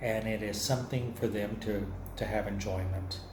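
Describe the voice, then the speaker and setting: A man with an American accent at a moderate pace, with audible room echo. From Texas, near San Antonio. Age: 60s. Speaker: artist. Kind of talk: lecture. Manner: conversational.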